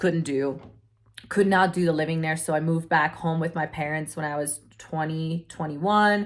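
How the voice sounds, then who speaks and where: The voice carries a non-native accent. Intonation stays fairly even at a moderate pace. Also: woman. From Europe. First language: not English. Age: 20s. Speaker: online entrepreneur. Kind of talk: personal story. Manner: casual, filler-heavy.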